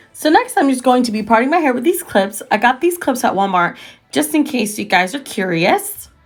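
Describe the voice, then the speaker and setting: Over background music, a woman talks at a fairly quick pace in a high pitch, her pitch swinging very widely. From Costa Rica. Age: 20s. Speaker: freelance makeup artist. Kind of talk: casual beauty tutorial talk to camera.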